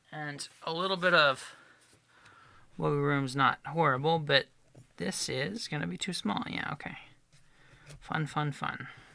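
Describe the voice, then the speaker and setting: On a very clean recording with a silent background, a man with a fairly high, bright, sharp voice speaks at a fairly slow pace with lively intonation and long, frequent pauses. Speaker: luthier. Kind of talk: tutorial. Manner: casual.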